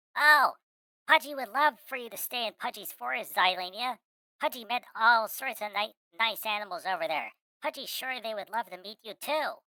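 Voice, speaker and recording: In a put-on character voice, a female-sounding speaker talks at a moderate pace with a fairly high pitch. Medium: virtual streamer. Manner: refers to himself in third person.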